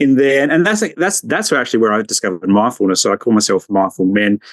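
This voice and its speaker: Speaking at a fairly quick pace, a man with an Australian accent makes very wide pitch swings. The sound is dry and close, with no echo. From Australia, Adelaide northern suburbs. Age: 40s. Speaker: social worker and men's mental health advocate. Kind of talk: podcast interview.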